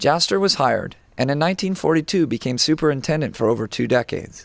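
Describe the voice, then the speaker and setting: With lively intonation, a man in an ordinary speaking voice talks at a fairly quick pace. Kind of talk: documentary narration.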